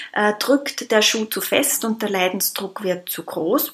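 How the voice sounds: At a moderate pace, a woman talks at a medium pitch with a slightly husky edge.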